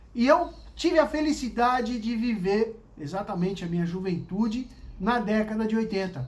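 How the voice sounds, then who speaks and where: An animated tone with ordinary pitch variation carries through audible room echo. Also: man. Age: 60s. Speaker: vlogger telling life stories. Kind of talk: casual storytelling monologue.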